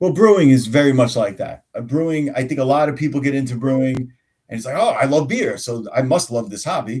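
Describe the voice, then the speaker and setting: A man with a strong New York accent, fairly high-pitched, at a fairly quick pace with ordinary pitch variation. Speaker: tabletop game master and homebrewer. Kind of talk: casual chat. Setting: live stream.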